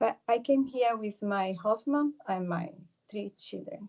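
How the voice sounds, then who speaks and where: A woman with a Spanish accent speaks at a fairly slow pace in a medium pitch with a dark, mellow tone. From Venezuela. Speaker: participant asking questions at a channeling meetup. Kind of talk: Q&A question. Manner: halting.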